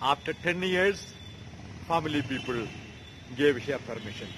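The voice moves through very wide pitch swings. Light background noise sits behind it. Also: man. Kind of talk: sermon. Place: street. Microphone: phone near.

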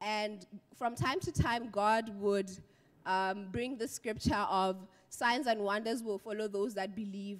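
Delivered at a fairly slow pace with ordinary pitch variation, the speech has a quiet background. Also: woman. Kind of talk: church testimony. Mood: grateful, earnest. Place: church. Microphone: handheld.

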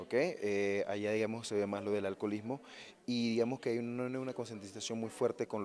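Talking at a very fast pace, a man keeps a fairly low pitch and monotone, flat intonation. Light background noise can be heard. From Panama. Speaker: psychologist; interviewee. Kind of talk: interview. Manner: halting. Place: hall. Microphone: handheld.

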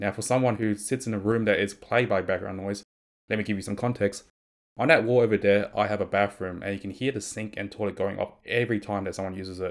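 Rattling along at a very fast pace, a man speaks at a fairly low pitch with fairly even intonation. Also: quiet background. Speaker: streamer. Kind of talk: tech review talk. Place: home room. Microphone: studio mic.

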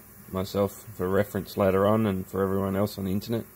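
Over light background noise, a man with an Australian accent speaks at a fairly low pitch with monotone, flat intonation. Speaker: hobbyist YouTuber. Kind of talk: tutorial. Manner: casual, with fillers. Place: workshop. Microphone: phone near.

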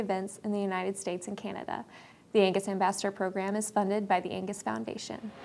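Very fast speech in a monotone, flat delivery. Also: woman. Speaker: news presenter. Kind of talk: news report reading. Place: studio. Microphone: lapel.

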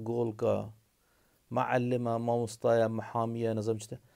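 Over a quiet background, a man with a Kurdish accent speaks at a fairly slow pace. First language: Kurdish (speaking Arabic). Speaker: video blogger. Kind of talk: monologue to camera. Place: home room. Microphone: phone near.

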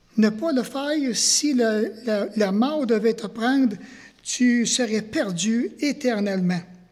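Against a quiet background, a high-pitched man speaks at a very slow pace with ordinary pitch variation. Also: long, frequent pauses. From Quebec. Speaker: pastor. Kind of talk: sermon. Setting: church. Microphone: headset.

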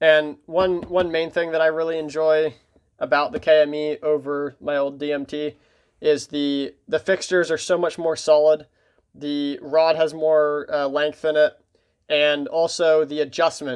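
A man speaks at a fairly slow pace in a monotone, flat intonation. The background is quiet. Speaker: hobbyist reviewer. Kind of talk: casual product walkthrough. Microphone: phone near.

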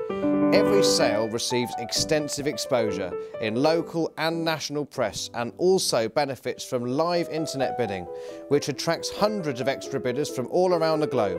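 Over music in the background, the speaker talks at a moderate pace with lively intonation. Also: man, fairly high pitch for a man. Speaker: auctioneer and valuer. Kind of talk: corporate narration, promotional talk to camera.

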